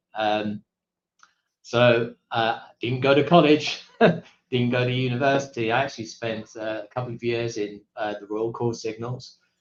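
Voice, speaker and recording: With an American accent, a man talks at a fairly slow pace in a medium pitch, his intonation fairly even. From Britain. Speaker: corporate executive, army veteran. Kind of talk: interview. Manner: hesitant, many fillers.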